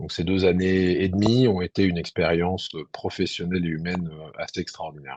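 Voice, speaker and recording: A man with a very deep, low pitch speaks at a fairly quick pace with hardly any pauses. His intonation stays fairly even while his loudness swings widely. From France (Burgundy and Lyon). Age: 40s. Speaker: army officer. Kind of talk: interview. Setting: webinar. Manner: hesitant, many fillers.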